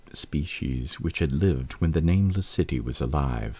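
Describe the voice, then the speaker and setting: Somewhat breathy and dark, mellow in tone, a man speaks at a moderate pace with lively intonation on a very clean recording with a silent background. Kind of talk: audiobook-style reading of a horror story.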